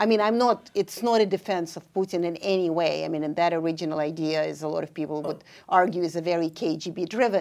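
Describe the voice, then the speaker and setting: A woman with a Russian accent talks very fast with hardly any pauses, her fairly low pitch moving with ordinary variation. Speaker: professor of international affairs. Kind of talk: panel discussion.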